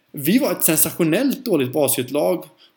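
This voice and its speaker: This man has an unremarkable speaking voice, pitched fairly high and delivered at a fairly quick pace. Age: 30s. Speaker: podcast host and teacher. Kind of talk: solo podcast monologue.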